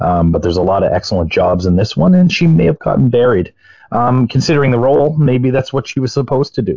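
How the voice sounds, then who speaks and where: A man's somewhat breathy, medium-pitched voice at a very fast pace, with very wide pitch swings and very even loudness. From Nova Scotia, Cape Breton. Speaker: podcast moderator. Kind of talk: panel discussion.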